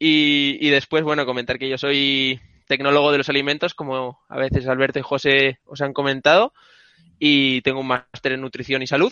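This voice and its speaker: A man speaks in a fairly high pitch at a moderate pace, with flat, monotone intonation. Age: 20s. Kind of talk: casual chat. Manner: halting.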